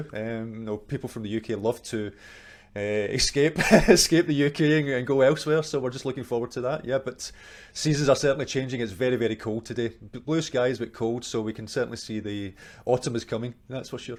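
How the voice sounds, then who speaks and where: In a Scottish accent, a man talks fairly quickly at a medium pitch with ordinary pitch variation. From Scotland, Glasgow. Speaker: marketing agency owner. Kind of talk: interview.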